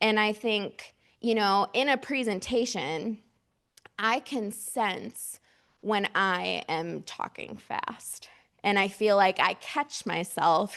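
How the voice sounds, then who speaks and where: A woman of medium pitch with vocal fry, at a very slow pace and with ordinary pitch variation, over a quiet background. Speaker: mental health outreach director. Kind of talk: workshop presentation with audience discussion. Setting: conference room with audience.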